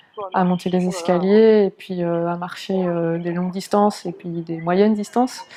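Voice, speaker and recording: A woman at a medium pitch with monotone, flat intonation, a moderate pace and hardly any pauses, against noticeable background noise. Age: 20s. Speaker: wheelchair user; translator. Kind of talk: documentary interview answer. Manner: hesitant, many fillers.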